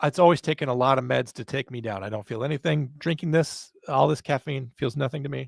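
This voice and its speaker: Fairly quick and fairly high-pitched, a man with an American accent has a plain, everyday voice and ordinary pitch variation. The recording is very clean, with a silent background and a dry, close sound with no echo. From US South. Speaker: podcast host. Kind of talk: casual chat.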